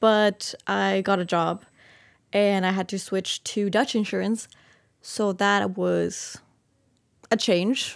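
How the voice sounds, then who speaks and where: In a very clean recording with a silent background, a woman with a Spanish accent speaks very slowly, leaving long, frequent pauses. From Costa Rica. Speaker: master's student. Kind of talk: casual interview.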